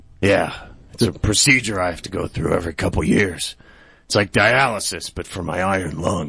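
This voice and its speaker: Putting on a character voice, a man speaks at a moderate pace in a raspy, very deep, low register with ordinary pitch variation. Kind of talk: comic overacting. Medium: audio drama. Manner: indignant, self-righteous.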